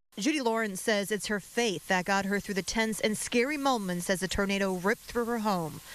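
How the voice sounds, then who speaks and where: A woman with a plain, everyday voice at medium pitch, fairly quick and with hardly any pauses, very even loudness and ordinary pitch variation, in a very clean recording with a silent background. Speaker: television news reporter. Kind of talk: live TV news report.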